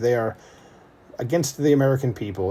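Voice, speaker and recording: This man talks very fast in a dark, mellow, somewhat breathy tone with lively intonation. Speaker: political commentary youtuber. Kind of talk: commentary reading article.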